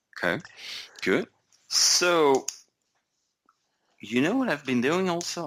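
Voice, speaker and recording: A man with a Flemish accent and vocal fry speaks on a very clean recording with a silent background. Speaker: software executive, podcast co-host. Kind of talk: casual chat.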